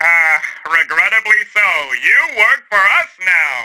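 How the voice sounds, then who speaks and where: A man's put-on character voice, high-pitched, at a fairly slow pace. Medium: audio drama. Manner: dry, sardonic.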